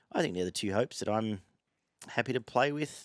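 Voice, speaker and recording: Fairly low-pitched and quick, a man talks with an Australian accent. The sound is dry with no echo, over a quiet background. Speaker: horse racing tipster. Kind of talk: casual chat. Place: garden. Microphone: headset.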